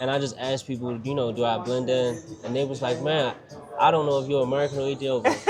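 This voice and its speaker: With music in the background, a man with a Baltimore accent talks at a very fast pace in a medium pitch, his intonation flat and monotone. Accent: Baltimore accent, noticeable. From Baltimore, Maryland, US. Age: 30s. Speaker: entrepreneur. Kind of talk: casual interview. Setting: restaurant.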